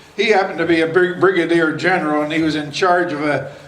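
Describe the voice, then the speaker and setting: Against noticeable background noise and audible room echo, a man speaks at a fairly high pitch with fairly even intonation. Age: 80s+. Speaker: war veteran and local elder. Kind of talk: public speech at outdoor event. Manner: halting.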